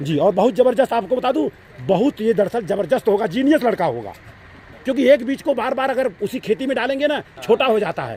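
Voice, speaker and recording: Over noticeable background noise, a man with an extremely high pitch speaks at a moderate pace with lively intonation. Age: 60s. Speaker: YouTube channel host. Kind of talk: casual chat. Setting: outdoors at a sports ground with senior citizens. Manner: animated.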